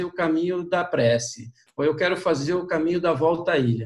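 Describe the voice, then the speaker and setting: At a moderate pace and with ordinary pitch variation, the man talks in an ordinary speaking voice. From interior of São Paulo state, Brazil. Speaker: pilgrim and walking guide. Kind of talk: interview, personal storytelling.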